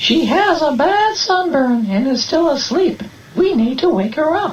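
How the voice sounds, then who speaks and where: In a put-on character voice, a woman speaks at a high pitch with very wide pitch swings, very even loudness and a moderate pace over clear background noise. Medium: read story. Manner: gentle, instructive.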